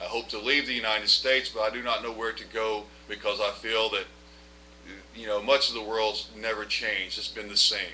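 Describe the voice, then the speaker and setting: A man speaks fairly quickly at a medium pitch. His intonation is monotone and flat, with noticeable background noise. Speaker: vlogger and former bank examiner. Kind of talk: personal testimony monologue. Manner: fast when nervous; occasional stammering.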